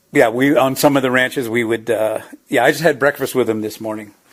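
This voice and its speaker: A man talks at a fairly quick pace. His pitch is medium and his intonation fairly even. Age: 60s. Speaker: former ranch hand. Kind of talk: casual interview. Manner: halting, many fillers.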